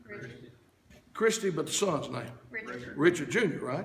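A man shouts in a high voice. Light background noise and audible room echo surround him. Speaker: preacher. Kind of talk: revival-style sermon building to a call-and-response crescendo. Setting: church. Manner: rhythmic, repetitive wordplay hammering a phrase for emphasis; fervent and rousing, punctuated by amens and urging shouts. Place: church. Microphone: camera far.

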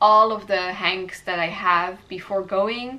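Audible room echo surrounds a woman speaking at a fairly slow pace, her medium-pitched voice bright and sharp in tone.

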